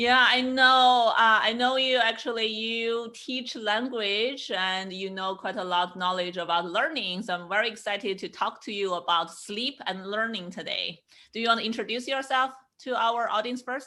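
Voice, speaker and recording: A woman speaks with a Chinese accent, her tone bright and sharp and her pitch fairly high with ordinary variation. The recording is very clean with a silent background. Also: moderate pace. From China. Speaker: podcast host, sleep psychologist. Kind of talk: podcast interview.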